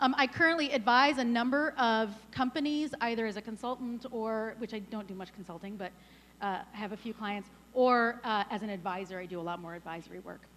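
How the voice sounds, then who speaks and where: Loud and fairly quick, a woman talks at a fairly high pitch. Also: ordinary pitch variation. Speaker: startup advisor and workshop founder. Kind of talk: conference talk. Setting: stage with audience. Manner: fast.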